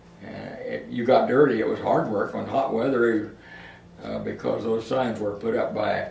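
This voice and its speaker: Both audible room echo and clear background noise surround a man talking at a moderate speed. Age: 90s. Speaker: elderly father recalling his working life. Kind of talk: oral history interview. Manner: halting, with many fillers and repeats.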